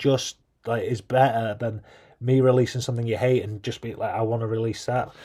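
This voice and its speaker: In a British accent, a man with a medium pitch speaks in a dark, mellow tone and monotone, flat intonation on a very clean recording with a silent background. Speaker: gaming youtuber. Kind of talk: casual vlog commentary. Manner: fast.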